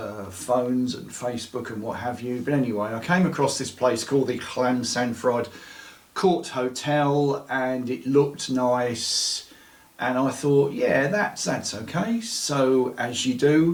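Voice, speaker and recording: A man at medium pitch and a fairly slow pace, with ordinary pitch variation, noticeable background noise and audible room echo. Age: 60s. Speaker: storyteller of paranormal experiences. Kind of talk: interview testimony.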